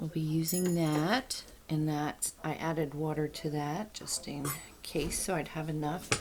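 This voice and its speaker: Slow-ish and fairly even in intonation, a woman's very deep, low voice comes through noticeable background noise. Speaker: home canning video creator. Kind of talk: cooking tutorial. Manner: soft-spoken; trying to talk louder.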